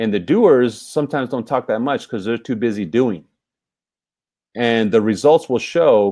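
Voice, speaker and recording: On a very clean recording with a silent background, a man speaks at medium pitch. His tone is dark and mellow, with ordinary pitch variation. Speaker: business trainer. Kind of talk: training presentation. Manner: fast; energetic.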